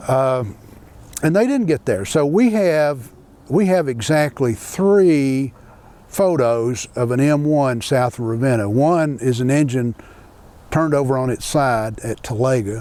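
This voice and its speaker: Lively in intonation yet fairly slow, a man talks at a medium pitch with a dark, mellow tone. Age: 70s. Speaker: railroad historian and author. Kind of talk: interview. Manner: conversational with frequent repetitions and fillers.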